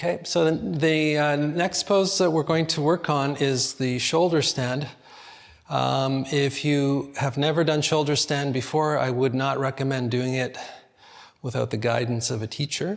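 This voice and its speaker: Noticeable background noise surrounds a man speaking in a calm tone at a fairly high pitch. His pace is fairly slow and his pitch variation ordinary. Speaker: yoga teacher. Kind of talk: guided yoga class instruction. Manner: calm, slow instruction.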